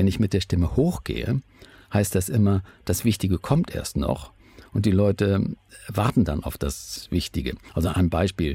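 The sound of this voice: At a fairly slow pace, a man talks in a low pitch with a dark, mellow tone and a slightly husky edge. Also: ordinary pitch variation.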